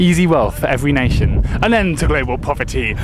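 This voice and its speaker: Music plays in the background as a man speaks. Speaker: slam poet. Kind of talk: slam poetry performance. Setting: outdoors.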